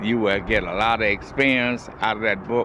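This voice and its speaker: A man's medium-pitched voice with an American accent, amid noticeable background noise. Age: 80s+. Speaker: TV show host. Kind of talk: monologue to camera. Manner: halting.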